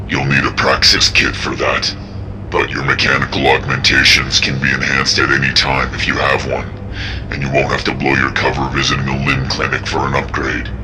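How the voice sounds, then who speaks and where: A man's cartoonish character voice at a fairly quick pace over loud background noise. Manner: calm, measured.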